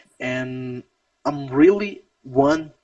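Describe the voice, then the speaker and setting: A man with a Brazilian Portuguese accent speaks at a fairly high pitch with lively intonation. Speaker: wrestling interview host. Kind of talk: casual interview. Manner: halting.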